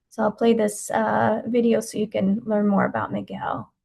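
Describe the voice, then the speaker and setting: Fairly high in pitch, a woman's voice comes across as somewhat breathy. She talks at a fairly quick pace. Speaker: benefits program presenter. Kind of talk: webinar presentation. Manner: fast.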